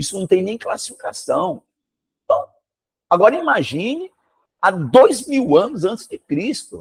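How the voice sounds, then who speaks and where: In a dry, close sound with no echo, a man speaks fairly slowly in an animated tone with very wide pitch swings. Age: 60s. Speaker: history teacher. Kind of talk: classroom lecture with informal digression.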